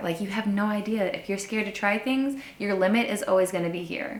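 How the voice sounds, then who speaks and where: A woman speaks in a fairly high pitch with an animated tone and ordinary pitch variation. Noticeable background noise runs underneath. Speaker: human design coach and sound healer. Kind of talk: casual vlog monologue.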